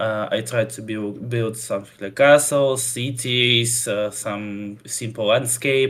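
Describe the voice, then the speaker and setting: Here is a man with a Russian accent and a medium pitch. His pace is very slow and his intonation fairly even. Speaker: custom campaign creator for a strategy game. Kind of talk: interview. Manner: halting, many fillers.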